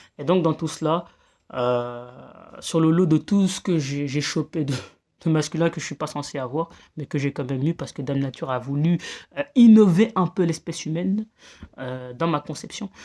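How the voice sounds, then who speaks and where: Long, frequent pauses from a woman with a very deep, low voice, ordinary pitch variation and a moderate pace, on a very clean recording with a silent background. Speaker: vlogger. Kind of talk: casual monologue vlog. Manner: halting, many fillers and repetitions.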